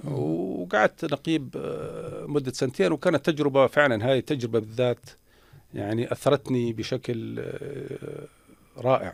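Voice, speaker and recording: With a Jordanian accent, a man speaks with vocal fry and lively intonation in a dry, close sound with no echo. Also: medium pitch for a man. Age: 60s. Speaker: former minister. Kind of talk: interview. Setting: radio studio. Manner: halting.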